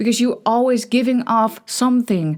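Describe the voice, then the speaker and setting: In a Dutch accent, a woman speaks at a moderate pace in a high voice with ordinary pitch variation. The recording is very clean, with a silent background. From Netherlands. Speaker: podcast host. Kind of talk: casual monologue. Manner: halting, many false starts.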